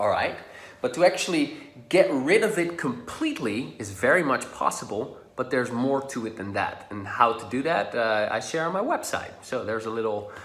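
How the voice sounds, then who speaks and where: With music in the background and audible room echo, a man with a Dutch accent speaks at a moderate pace with very wide pitch swings. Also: medium pitch for a man. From Netherlands. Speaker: social confidence coach. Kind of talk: tutorial. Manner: casual.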